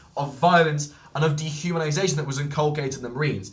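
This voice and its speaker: Over noticeable background noise and audible room echo, a man talks very fast at a fairly high pitch. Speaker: history video creator. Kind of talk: lecture. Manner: halting.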